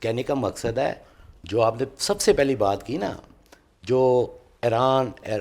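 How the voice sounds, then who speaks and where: This is a man's voice. It has a medium pitch. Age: 60s. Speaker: political party worker. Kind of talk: TV political talk show debate. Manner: animated.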